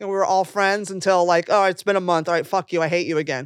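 An animated tone with an American accent, dry and close with no echo, on a very clean recording with a silent background. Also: woman. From California. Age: 50s. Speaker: stand-up comedian. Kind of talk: casual chat.

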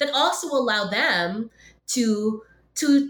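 A woman talks while noticeable background noise continues behind her. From Philippines and Hong Kong, then Canada from 1999. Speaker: professor and podcast host. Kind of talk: interview conversation. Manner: many fillers and repetitions.

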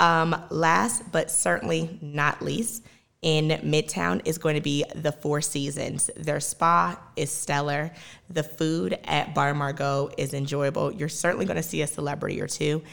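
A woman with a very deep, low voice and vocal fry speaks fairly slowly in an American accent, with ordinary pitch variation, on a very clean recording with a silent background. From US South, Georgia (Lawrenceville). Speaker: podcast host. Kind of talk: solo podcast recommendations monologue.

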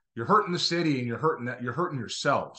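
Lively intonation marks this man's animated, passionate tone. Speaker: former scout and podcast co-host. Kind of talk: casual, opinionated sports talk. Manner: rambling, animated, passionate.

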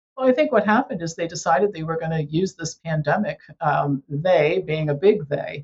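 Somewhat breathy and very deep, low in pitch, a woman speaks at a fairly quick pace. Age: 60s. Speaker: health educator and author. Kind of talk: interview.

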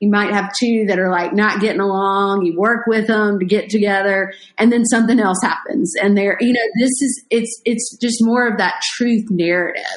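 A woman with a normal speaking voice talks at a moderate pace and fairly high pitch, with fairly even intonation, very even loudness and hardly any pauses. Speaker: podcast host. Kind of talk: casual interview chat.

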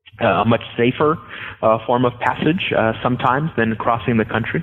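A man with an American accent speaks at a fairly quick pace with ordinary pitch variation over noticeable background noise. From Southern California, Los Angeles. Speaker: history professor. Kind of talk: interview. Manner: halting, many fillers and repetitions.

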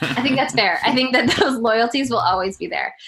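There is vocal fry in this woman's bright, sharp voice. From Colorado, US. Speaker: sports broadcaster. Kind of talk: casual interview.

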